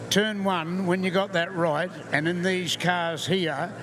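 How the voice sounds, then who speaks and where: Through noticeable background noise, a man speaks with a New Zealand accent at a high pitch. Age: 80s+. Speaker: retired racing driver. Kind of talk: live interview.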